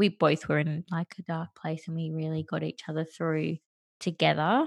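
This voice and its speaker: A woman speaks at a fairly slow pace with a very deep, low pitch and monotone, flat intonation. The sound is dry and close, with no echo. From Australia, Perth. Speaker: coach. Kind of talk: interview. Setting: remote call.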